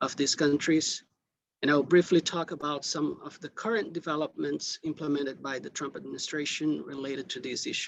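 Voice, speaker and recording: A man with a non-native accent, fairly high pitch and fairly even intonation. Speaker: invited lecturer. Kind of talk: lecture. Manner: deliberately slow; hesitant, many fillers.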